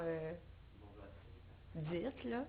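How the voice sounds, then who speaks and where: In a Quebec accent, a woman speaks at a very slow pace amid noticeable background noise and audible room echo. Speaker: singer-songwriter. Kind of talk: interview. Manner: halting.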